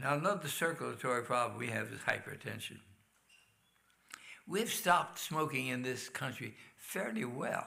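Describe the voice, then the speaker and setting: A man with a bright, sharp tone and vocal fry speaks at medium pitch with lively intonation. He keeps a moderate pace with long, frequent pauses, and the room echo is audible. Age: 80s+. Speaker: health lecturer. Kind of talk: health talk in church.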